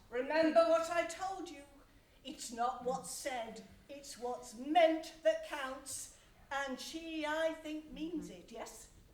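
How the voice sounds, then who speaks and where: A put-on character voice speaks at a high pitch and a very slow pace. There is a slight echo. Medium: audio drama. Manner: smooth, sly.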